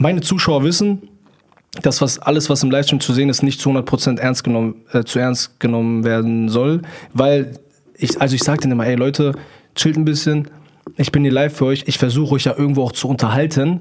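Fairly quick speech from a man with a fairly high pitch, fairly even intonation and very even loudness, over noticeable background noise. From Germany, near Hanover. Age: 20s. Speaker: TikTok livestreamer. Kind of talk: casual interview chat.

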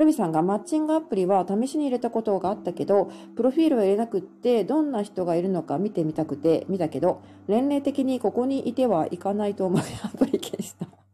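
Very fast speech comes from a woman at a medium pitch. Her pitch swings very widely. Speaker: podcaster and backpacker. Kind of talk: live stream chat reading comments. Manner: casual with many fillers.

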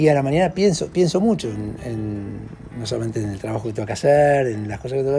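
Over noticeable background noise, a man talks with medium pitch and lively intonation. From Argentina. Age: 50s. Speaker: social worker and former priest. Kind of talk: interview. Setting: at his home. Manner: halting.

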